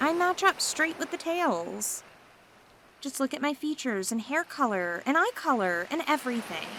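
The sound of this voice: A woman's put-on character voice, high-pitched and fairly bright, with big pitch swings at a moderate pace.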